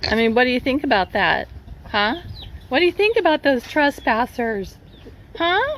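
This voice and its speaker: A woman's high voice at a moderate pace, very wide pitch swings, very even loudness. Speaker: property owner vlogging a utility dispute. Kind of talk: casual vlog talking to camera. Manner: loud, raised voice.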